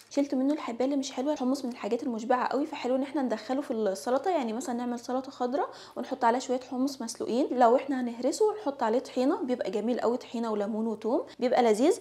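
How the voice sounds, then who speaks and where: Speaking at a very fast pace with hardly any pauses, a woman talks in a high pitch. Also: ordinary pitch variation. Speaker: home cooking vlogger. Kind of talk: vlog narration. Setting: home kitchen. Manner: casual.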